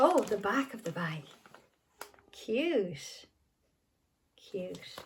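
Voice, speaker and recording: A woman speaks very slowly in a somewhat breathy voice, her pitch swinging very widely. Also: fairly high pitch for a woman. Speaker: toy collector unboxing vlogger. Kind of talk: unboxing video. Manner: animated.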